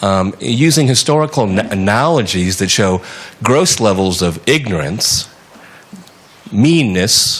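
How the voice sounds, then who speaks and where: A man with a fairly low pitch speaks at a fairly slow pace with long, frequent pauses and very wide pitch swings. His loudness stays very even over noticeable background noise. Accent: American. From United States. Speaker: TV journalist. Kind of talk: audience question at a panel discussion. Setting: conference hall with audience.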